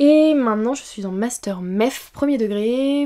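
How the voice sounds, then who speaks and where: Over a quiet background, a woman's dark, mellow voice carries ordinary pitch variation. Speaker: YouTuber; youtuber answering viewer questions. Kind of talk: casual Q&A talk to camera; casual vlog chat. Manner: hesitant, many fillers. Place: home room. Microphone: studio mic.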